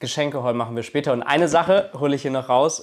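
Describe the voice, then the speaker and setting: A man talks with ordinary pitch variation while the background remains quiet. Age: 20s. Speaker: YouTuber; vlogger. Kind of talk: vlog monologue to camera. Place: home room. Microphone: lapel.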